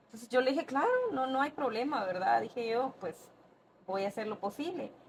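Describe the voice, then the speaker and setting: A woman speaks at a fairly quick pace and a high pitch with lively intonation and big swings in loudness. Noticeable background noise is present. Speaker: podcast guest. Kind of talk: casual interview storytelling.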